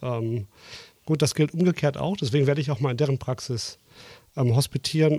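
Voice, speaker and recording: Somewhat breathy speech with a slight Ruhr accent, a moderate pace and fairly even intonation. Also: man. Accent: slight Ruhr area. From Dortmund, Ruhr area. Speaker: co-host, general practitioner, former anaesthetist. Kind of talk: casual chat. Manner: hesitant with filler sounds.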